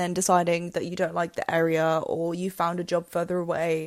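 This woman has a fairly low-pitched voice and an English accent. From England. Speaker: podcast host. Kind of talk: solo podcast monologue with tips.

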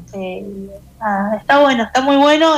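A woman speaks while music plays in the background. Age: 30s. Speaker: weekly columnist. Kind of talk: casual chat.

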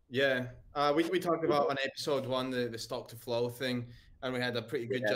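This man's voice has a medium pitch and fairly even intonation at a fairly quick pace. There is noticeable background noise. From Corfu, Greece. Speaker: crypto podcast co-host. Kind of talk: casual chat.

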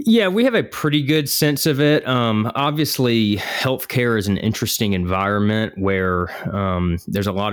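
This man speaks with a Southern US accent at a moderate pace. His pitch varies in an ordinary way. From US South, South Georgia. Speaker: podcast co-host, healthcare business leader. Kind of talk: casual business discussion podcast.

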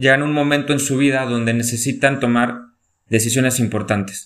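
This man has a normal speaking voice at a medium pitch, with ordinary pitch variation. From Mexico, León, Guanajuato. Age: 30s. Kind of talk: casual chat.

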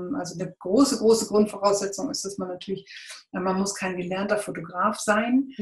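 A woman at a medium pitch with ordinary pitch variation, a fairly quick pace and big swings in loudness, over noticeable background noise. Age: 40s. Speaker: volunteer photographer. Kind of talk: interview.

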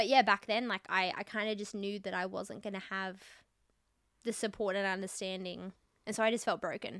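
Someone with an Australian accent talks at a fairly quick pace on a very clean recording with a silent background. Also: woman, medium pitch for a woman. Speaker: podcast host. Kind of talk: casual chat. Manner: animated.

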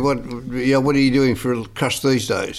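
There is noticeable background noise as a man with an Australian accent speaks at a fairly high pitch. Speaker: podcast co-host. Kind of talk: casual interview.

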